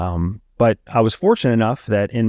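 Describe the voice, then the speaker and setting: A man's fairly low voice with an American accent at a fairly quick pace, dry and close with no echo, on a very clean recording over a silent background. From rural Pennsylvania. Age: 40s. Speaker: former CIA intelligence officer. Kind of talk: casual interview conversation. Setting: studio.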